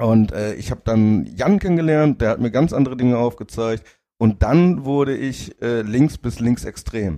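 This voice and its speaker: Speaking at a moderate pace, a man uses lively intonation in a medium pitch with a dark, mellow tone. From northern Germany (Zeven, Lower Saxony). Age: 30s. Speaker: football ultra. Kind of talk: casual chat. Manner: halting, many fillers.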